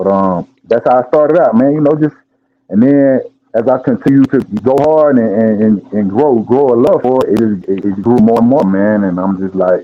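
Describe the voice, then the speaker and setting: A man with an American accent speaks at a moderate pace in a medium pitch, with ordinary pitch variation. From Georgia, US South. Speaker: rapper. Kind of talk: casual chat.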